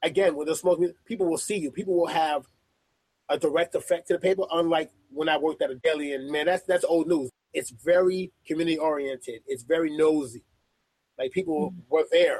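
This man speaks at a fairly quick pace with a New York accent, his pitch high for a man and his intonation fairly even. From Brooklyn, New York. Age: 30s. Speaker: sports editor. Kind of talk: interview.

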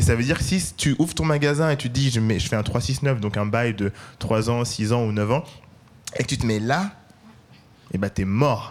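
A man speaks with lively intonation at a medium pitch and a moderate pace. His loudness stays very even, broken by long, frequent pauses. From Paris, 13th arrondissement. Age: 30s. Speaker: entrepreneur, food brand cofounder. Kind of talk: live panel discussion. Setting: live event with audience.

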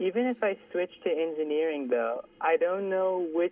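Speaking at a fairly slow pace, a woman has a fairly low pitch. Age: young (19). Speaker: caller, university student. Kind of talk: phone-in question to radio host. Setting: phone call. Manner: polite, hesitant.

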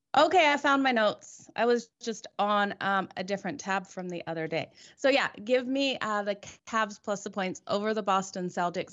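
A woman talks with an ordinary speaking voice at a medium pitch. Her pace is moderate and her pitch varies in an ordinary way. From Australia, moved to Canada at 14. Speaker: sports handicapper panelist. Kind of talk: casual chat.

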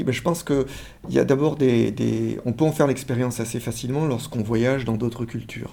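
A man's medium-pitched voice with fairly even intonation at a moderate pace, against noticeable background noise. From France. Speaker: social psychology professor. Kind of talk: interview. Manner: halting, frequent word repetitions.

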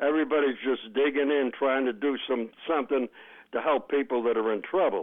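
Speaking at a fairly quick pace in an American accent, a man has an ordinary speaking voice, a fairly high pitch and very even loudness. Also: ordinary pitch variation. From Boston. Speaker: caller. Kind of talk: call-in talk radio.

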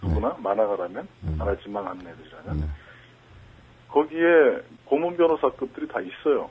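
The speaker goes at a fairly quick pace with very wide pitch swings and long, frequent pauses. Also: man, medium pitch for a man. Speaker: cartoonist. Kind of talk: interview.

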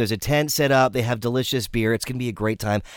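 A man is speaking. His tone is animated and enthusiastic. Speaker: radio host. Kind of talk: radio DJ patter, upbeat promo and song intros. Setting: radio studio, live broadcast. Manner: animated, enthusiastic, friendly, fast-flowing; casual, conversational, repeats plugs.

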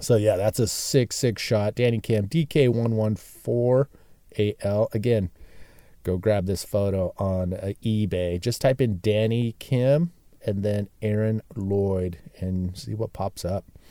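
In an American accent with ordinary pitch variation, the voice has a dark, mellow tone, recorded very clean with a silent background and a dry, close sound with no echo. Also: man, fairly low pitch for a man. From San Diego, US West Coast. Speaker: bodyboarding photo archive creator. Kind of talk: casual solo storytelling monologue. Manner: enthusiastic, animated.

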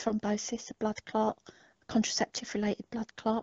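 A woman speaks with an English accent. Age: 50s. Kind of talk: casual interview conversation.

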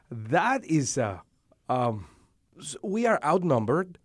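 A man with a Spanish accent at a very slow pace, on a very clean recording with a silent background. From Dominican Republic. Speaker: seminary director, minister. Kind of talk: interview. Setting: studio. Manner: hesitant, many fillers.

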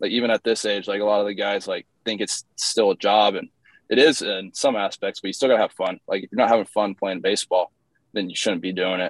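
A man with a Midwestern American accent and a fairly low pitch talks at a very fast pace with fairly even intonation. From Indiana, US Midwest. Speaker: professional baseball pitcher. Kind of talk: interview. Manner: casual, filler-heavy.

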